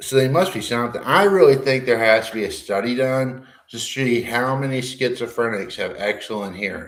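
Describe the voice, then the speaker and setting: Loud and animated, the speech moves at a fairly quick pace with hardly any pauses and ordinary pitch variation, with audible room echo. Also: man, medium pitch for a man. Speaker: livestreamer discussing schizophrenia. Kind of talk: casual monologue. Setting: garage.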